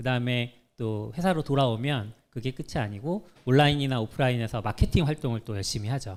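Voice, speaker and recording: A medium-pitched man speaks at a fairly quick pace with ordinary pitch variation. The recording is very clean, the background silent. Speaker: software engineer giving a talk. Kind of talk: conference talk. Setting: stage with audience. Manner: fast when nervous.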